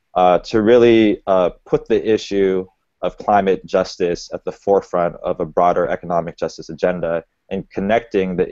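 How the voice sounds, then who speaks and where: A man with an American accent, a dry sound with no echo and a quiet background. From Boston. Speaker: panel moderator and community organizer; panel moderator. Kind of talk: panel moderation. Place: home room. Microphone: earbuds.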